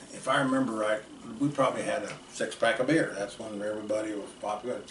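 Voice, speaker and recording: The speech comes at a very fast pace with ordinary pitch variation. Noticeable background noise and audible room echo are present. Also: man. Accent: American. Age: 60s. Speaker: storyteller relative. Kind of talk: casual storytelling. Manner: halting.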